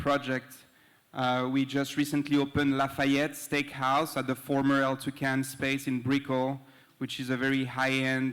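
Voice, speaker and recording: A man's monotone, flat delivery in a very clean recording with a silent background. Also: medium pitch for a man, moderate pace. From southern France (Cannes). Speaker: restaurant and hospitality entrepreneur. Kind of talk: panel introduction. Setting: event venue with live audience. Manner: hesitant, many fillers.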